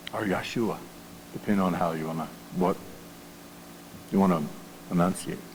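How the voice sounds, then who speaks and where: Against noticeable background noise and audible room echo, a speaker with an American accent talks at a fairly quick pace in a fairly even intonation, leaving long, frequent pauses. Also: man, very deep, low pitch for a man. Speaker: pastor. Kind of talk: sermon. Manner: halting.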